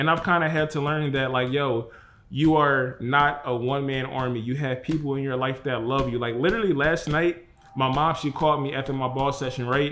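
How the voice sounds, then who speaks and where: A man talks at a fairly quick pace with a fairly high pitch. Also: fairly even intonation. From Philadelphia, US. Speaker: vlogger. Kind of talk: personal vlog monologue. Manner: fast.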